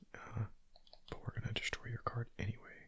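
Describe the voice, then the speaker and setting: The speaker whispers. The pace is moderate. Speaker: gaming ASMR creator. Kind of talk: whispered gameplay commentary. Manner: whispering; casual.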